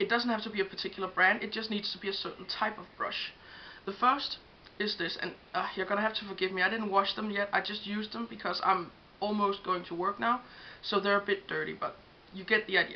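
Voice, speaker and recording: At a very fast pace, a woman with a slight Danish accent speaks at medium pitch with monotone, flat intonation over noticeable background noise. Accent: Danish accent, self-described, slight. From Denmark. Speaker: beauty vlogger. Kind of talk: tutorial. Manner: casual with frequent fillers.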